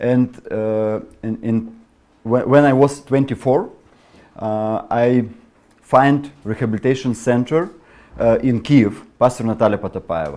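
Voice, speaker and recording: A man with a Ukrainian accent and a dark, mellow tone speaks fairly slowly, pausing long and often. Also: medium pitch for a man, ordinary pitch variation. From Ukraine. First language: Russian or Ukrainian. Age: 30s. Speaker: pastor and missionary. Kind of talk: testimony. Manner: halting.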